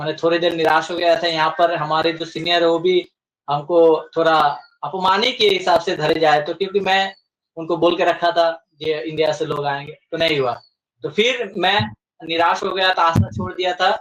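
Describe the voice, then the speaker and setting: A man's high voice with a Bengali accent and ordinary pitch variation. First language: Bengali (speaking Hindi). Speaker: community representative. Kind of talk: interview. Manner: halting, with filler sounds.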